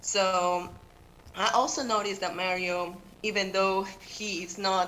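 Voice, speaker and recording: A woman with a Peruvian accent speaks at a fairly low pitch. Audible room echo surrounds her voice. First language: Spanish. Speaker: teacher and public commenter. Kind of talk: public comment at council meeting. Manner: halting.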